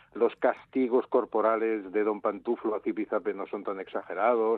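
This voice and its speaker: At a fairly slow pace, a man talks in an unremarkable speaking voice at a medium pitch. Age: 60s. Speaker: comic book editor and author. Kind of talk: interview.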